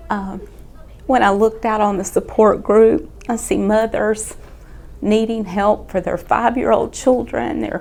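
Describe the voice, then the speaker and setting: Speaking at a fairly slow pace, a woman talks with a Southern US accent. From Georgia, US. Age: 50s. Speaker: critical care nurse. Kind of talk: patient testimonial.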